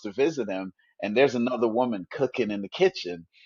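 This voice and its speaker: An unremarkable speaking voice delivers the words at a fairly quick pace. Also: man. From Trinidad, raised in rural Canada. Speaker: author and broadcaster. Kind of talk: interview answer.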